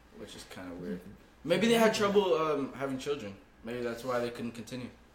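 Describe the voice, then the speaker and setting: A man at medium pitch with very wide pitch swings and big swings in loudness, a fairly quick pace, audible room echo and noticeable background noise. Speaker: podcast host, college student. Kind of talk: casual chat. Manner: stuttering at times.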